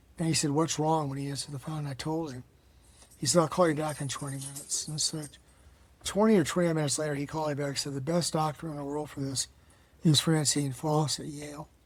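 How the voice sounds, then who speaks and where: Talking very fast in a flat monotone, this man has a fairly high, somewhat breathy voice. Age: 70s. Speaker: cancer survivor and author. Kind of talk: interview. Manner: conversational, with fillers.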